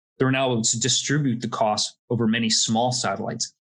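With an American accent, a man in a normal speaking voice talks at a fairly quick pace, his medium pitch held in fairly even intonation. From US, Florida. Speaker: space industry consultant. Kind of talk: interview.

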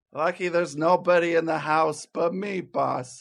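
Using a put-on character voice, a man speaks at a moderate pace in a high, raspy voice with fairly even intonation. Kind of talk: 1940s radio acting. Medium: old radio play. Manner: tough-guy slang, ungrammatical.

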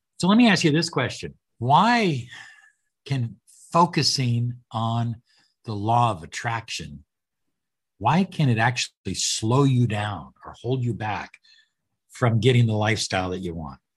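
Over a quiet background, a man speaks at a fairly slow pace and medium pitch, somewhat breathy, with long, frequent pauses. His loudness swings widely, and his pitch swings very widely. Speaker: podcast host and life coach. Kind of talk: interview, casual chat.

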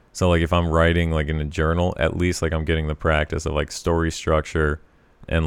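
Monotone, flat intonation at a fairly quick pace. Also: man. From Colorado. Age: 20s. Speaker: stand-up comedian. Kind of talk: casual chat.

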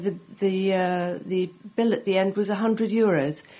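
The speaker talks with an English accent and ordinary pitch variation. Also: woman, very clean recording, silent background. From England. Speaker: food journalist. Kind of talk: interview. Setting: studio.

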